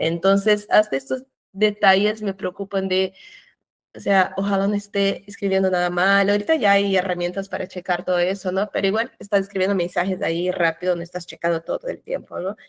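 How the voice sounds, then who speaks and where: A woman with a Portuguese accent talks at a fairly quick pace and medium pitch, her intonation fairly even, in a dry, close sound with no echo. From Brazil. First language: Portuguese (speaking Spanish). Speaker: cultural manager. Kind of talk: interview.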